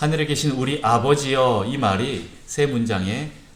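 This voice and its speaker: A man's voice is heard with audible room echo. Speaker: pastor. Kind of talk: sermon. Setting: church service. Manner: calm, soothing.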